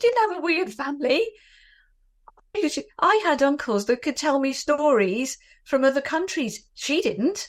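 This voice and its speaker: A woman with a British accent speaks at a high pitch, swinging it very widely. Her pace is fairly slow. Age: 60s. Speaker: anti-bullying advocate. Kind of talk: interview testimony.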